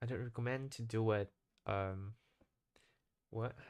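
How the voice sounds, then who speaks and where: A man with a Japanese accent speaks at a medium pitch. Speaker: English learner vlogger. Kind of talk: casual monologue vlog. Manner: halting, frequent self-corrections.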